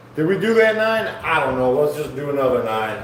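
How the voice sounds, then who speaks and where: Over noticeable background noise and audible room echo, a man speaks at a moderate pace with very wide pitch swings. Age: 40s. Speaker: fitness streamer doing workout livestream. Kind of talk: casual livestream chat while exercising. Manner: casual, conversational.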